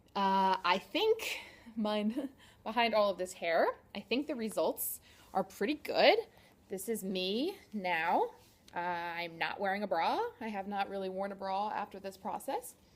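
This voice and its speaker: A woman with an ordinary speaking voice, a fairly slow pace, and ordinary pitch variation. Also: medium pitch for a woman. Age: 30s. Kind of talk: casual talk to camera.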